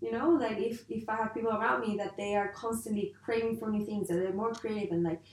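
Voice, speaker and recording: Against noticeable background noise, a woman speaks at a fairly quick pace with ordinary pitch variation. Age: 30s. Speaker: podcast co-host. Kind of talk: casual chat.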